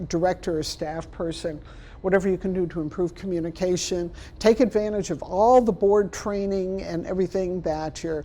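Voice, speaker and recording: Her dark, mellow tone carries a fairly even intonation as this woman speaks. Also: medium pitch for a woman, moderate pace. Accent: American. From Chicago, South Side. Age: 60s. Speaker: library trainer and consultant. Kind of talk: workshop lecture.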